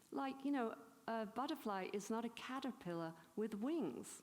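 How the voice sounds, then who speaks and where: A woman with an English accent talks at a fairly slow pace, her fairly high voice rising and falling with lively intonation. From England. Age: 70s. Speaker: spiritual teacher. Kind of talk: conference talk. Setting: stage with audience. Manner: animated.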